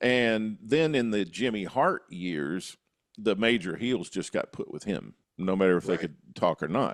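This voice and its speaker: With a normal speaking voice, a man uses lively intonation, a fairly low pitch and a moderate pace. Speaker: podcast host. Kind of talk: podcast discussion.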